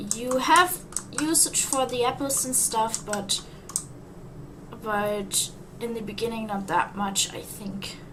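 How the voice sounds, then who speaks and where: With a non-native accent and a fairly high pitch, a woman speaks at a very slow pace with long, frequent pauses and lively intonation, amid audible room echo and noticeable background noise. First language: not English. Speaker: gaming YouTuber. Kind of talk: gameplay commentary. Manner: halting, repeats words.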